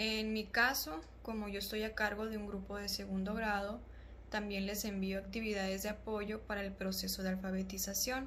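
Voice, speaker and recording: A woman is speaking in a space with audible room echo. Noticeable background noise runs underneath. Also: moderate pace. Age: 20s. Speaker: primary school teacher. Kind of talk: prepared testimony.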